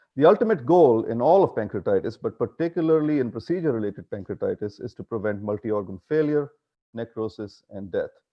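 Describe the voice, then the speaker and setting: Very fast in pace, the voice moves with lively intonation. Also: man. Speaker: physician lecturer. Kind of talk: conference lecture. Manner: loud.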